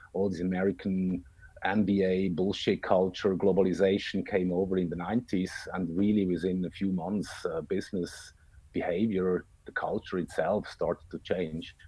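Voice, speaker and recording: A man's very deep, low voice, dark and mellow in tone, monotone and flat, at a moderate pace. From Switzerland. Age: 50s. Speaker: political commentator. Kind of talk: podcast interview.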